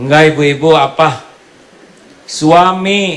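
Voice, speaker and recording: A man with a West Javanese accent and a fairly high pitch, over noticeable background noise. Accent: Sundanese. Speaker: Islamic preacher. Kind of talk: humorous religious sermon. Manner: joking, lively.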